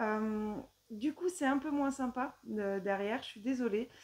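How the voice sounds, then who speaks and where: Her voice is high in pitch with a dark, mellow tone, and the woman speaks at a moderate pace. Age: 40s. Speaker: knitting vlogger. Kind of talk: casual vlog monologue. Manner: hesitant, many filler sounds.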